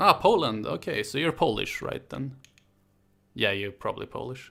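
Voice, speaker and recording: In a Swedish accent, the speaker talks at a moderate pace on a very clean recording with a silent background. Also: man, big swings in loudness. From Sweden, Stockholm. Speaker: history YouTuber. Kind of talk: casual live stream chat. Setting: live stream from home.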